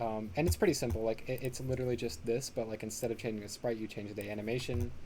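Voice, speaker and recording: A man's very fast, somewhat breathy speech with a dark, mellow tone. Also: medium pitch for a man, ordinary pitch variation. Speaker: pixel art workshop instructor. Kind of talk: tutorial. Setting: live online stream. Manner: casual with many fillers.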